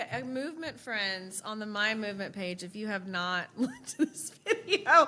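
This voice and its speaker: A woman speaks at a fairly high pitch and moderate pace. Her tone is bright and sharp, with lively intonation. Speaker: podcast co-host. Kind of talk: casual interview chat. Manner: loud.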